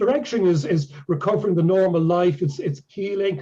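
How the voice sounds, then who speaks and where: This man has an Irish accent and talks at a fairly quick pace with a high pitch. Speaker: ALS patient and healing presenter. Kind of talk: Q&A after a presentation. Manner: halting.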